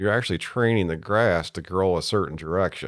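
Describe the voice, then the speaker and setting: This man has a very deep, low voice with ordinary pitch variation and an American accent. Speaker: golf course superintendent. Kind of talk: casual interview. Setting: studio.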